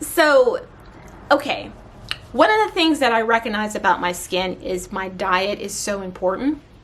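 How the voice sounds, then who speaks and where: Over noticeable background noise, a woman speaks in a fairly high pitch with lively intonation. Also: moderate pace. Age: 30s. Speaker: beauty and wellness vlogger. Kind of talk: casual vlog talk.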